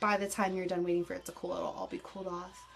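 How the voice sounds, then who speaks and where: Noticeable background noise runs under the clip. A woman speaks in a monotone, flat intonation. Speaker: beauty vlogger. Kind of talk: tutorial. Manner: fast; casual.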